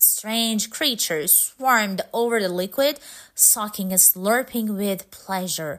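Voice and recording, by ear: A passage is read out loud in a natural voice.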